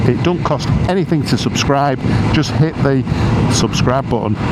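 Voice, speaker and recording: A man with a Yorkshire accent talks at a moderate pace with lively intonation, amid noticeable background noise and audible room echo. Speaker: motorcycle vlogger. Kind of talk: casual vlog talk to camera. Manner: hesitant, many repeats and fillers.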